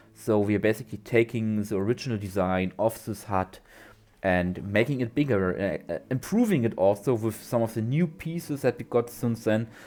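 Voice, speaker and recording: A man speaks at a moderate pace with a non-native accent, his tone dark and mellow. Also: medium pitch for a man, ordinary pitch variation. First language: not English. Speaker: gaming YouTuber. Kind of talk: gameplay commentary. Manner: halting, many fillers and repeats.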